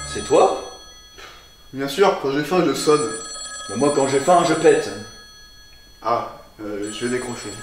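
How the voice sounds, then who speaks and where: A man speaks at a very slow pace. Audible room echo and light background noise are present. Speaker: sketch actor. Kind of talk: comedy sketch dialogue. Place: home room. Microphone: camera far.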